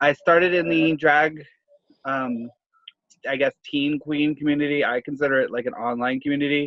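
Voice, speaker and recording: The man's voice is fairly high. He moves along at a fairly quick pace. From Florida, US South. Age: 20s. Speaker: drag queen podcast co-host. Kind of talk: casual chat. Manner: loud laugh that spikes the mic.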